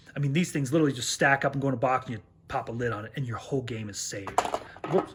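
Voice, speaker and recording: This man's medium-pitched delivery races along very fast, its pitch varying in an ordinary way, with noticeable noise in the background. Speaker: board game youtuber. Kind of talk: video review. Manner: louder when excited; casual with many fillers.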